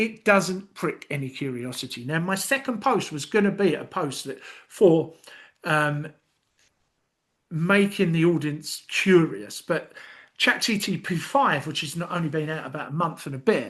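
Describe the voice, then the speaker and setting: Against a quiet background, a man with a London accent speaks at a fairly slow pace. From London, England. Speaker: YouTube content tutor. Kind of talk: screen-share tutorial. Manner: casual with many fillers.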